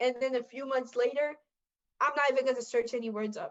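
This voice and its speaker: A woman with a Caribbean accent talks at a fairly quick pace in a high pitch. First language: French Creole. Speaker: podcast co-host. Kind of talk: casual chat.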